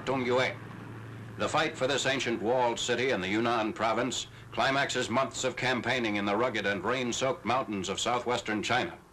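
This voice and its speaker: A man's medium-pitched voice at very even loudness and a fairly quick pace, over noticeable background noise. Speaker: newsreel narrator. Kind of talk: newsreel narration.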